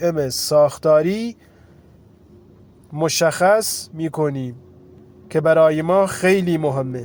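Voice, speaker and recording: A man speaks at a very slow pace with a fairly high pitch. The recording is very clean, with a silent background. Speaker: trading instructor. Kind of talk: tutorial.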